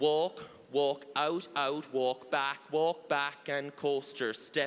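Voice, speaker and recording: A man speaks with an Irish accent at a fairly high pitch. His pace is very slow. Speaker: line dance instructor. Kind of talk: dance class instruction with counts. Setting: stage with audience. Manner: animated. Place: hall. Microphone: handheld.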